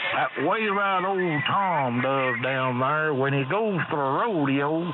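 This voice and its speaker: Very slowly, a man with an American accent talks in a fairly high voice with lively intonation and very even loudness. Noticeable background noise and audible room echo fill the recording. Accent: southern US redneck. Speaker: ham radio operator. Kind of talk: casual chat. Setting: ham radio net.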